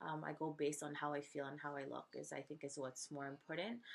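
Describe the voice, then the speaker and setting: At a moderate pace, a woman speaks with vocal fry in a very deep, low voice. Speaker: beauty and fitness vlogger. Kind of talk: casual vlog talk to camera. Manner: hesitant, many fillers.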